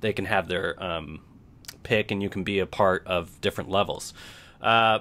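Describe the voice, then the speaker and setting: A man talks at a moderate pace with a fairly low pitch. His tone comes across bright and sharp. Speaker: podcast host. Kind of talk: interview commentary. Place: home room. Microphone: studio mic.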